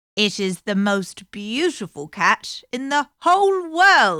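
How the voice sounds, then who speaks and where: A woman's put-on character voice with very wide pitch swings, a fairly slow pace and a very clean recording with a silent background. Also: fairly high pitch for a woman. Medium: read story.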